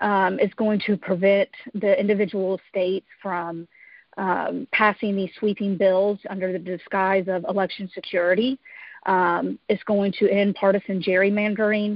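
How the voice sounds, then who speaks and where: Speaking with an American accent, a woman uses a medium pitch, monotone, flat intonation and a moderate pace. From Georgia, US South. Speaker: congressional candidate, healthcare worker. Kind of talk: town hall candidate answers. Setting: phone call.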